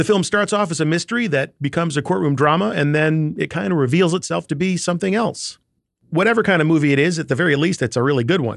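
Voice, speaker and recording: With lively intonation, a man speaks very fast in a fairly high pitch. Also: quiet background. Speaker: podcast host. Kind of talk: podcast interview, casual. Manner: animated, chatty.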